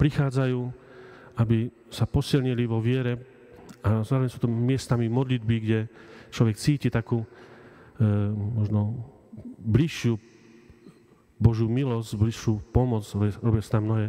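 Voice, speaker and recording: A man speaks in a dark, mellow tone with flat, monotone intonation. He leaves long, frequent pauses against a quiet background. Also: moderate pace. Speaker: priest. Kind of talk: sermon. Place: church. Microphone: podium.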